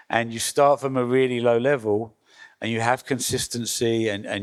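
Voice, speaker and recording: A man speaks with an English accent at a moderate pace, his pitch medium and his intonation fairly even. The recording is very clean, with a silent background. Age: 60s. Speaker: record label founder. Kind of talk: panel talk. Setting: workshop with audience. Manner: hesitant, many fillers.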